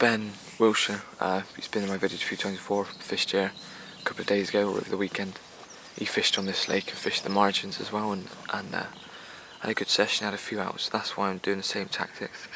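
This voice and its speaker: Soft-spoken and at a fairly low pitch, a man talks at a very fast pace with monotone, flat intonation and long, frequent pauses over noticeable background noise. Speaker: fishing vlogger. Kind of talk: casual vlog narration. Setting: outdoors by a lake. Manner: quiet, soft-spoken; hesitant, many fillers.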